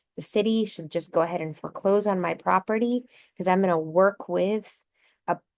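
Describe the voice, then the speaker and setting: In an ordinary speaking voice, a woman talks at a fairly quick pace and medium pitch with fairly even intonation and a dry, close sound with no echo. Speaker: housing advocate. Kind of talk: presentation.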